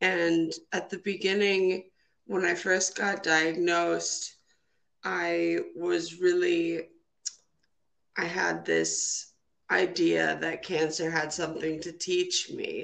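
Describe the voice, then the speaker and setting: A woman speaks with an Upper Midwest accent. Her pace is very slow. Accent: Upper Midwest American. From Minnesota, US Midwest. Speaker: trombonist and cancer survivor. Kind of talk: interview. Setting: phone call.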